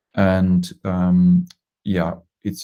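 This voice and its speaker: A man's very deep, low voice with a dark, mellow tone and a Dutch accent. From Netherlands. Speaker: design management consultant. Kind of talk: presentation. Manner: hesitant, many fillers.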